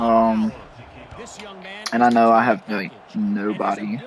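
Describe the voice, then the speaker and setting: Noticeable background noise accompanies a voice with ordinary pitch variation. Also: man. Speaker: gaming youtuber. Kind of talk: gameplay commentary. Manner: low-energy, subdued.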